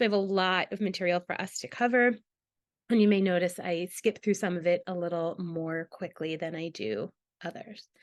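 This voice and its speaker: Dry, close sound with no echo, a quiet background, moderate pace and ordinary pitch variation. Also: woman, medium pitch for a woman. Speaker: psychologist giving a training webinar. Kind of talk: lecture.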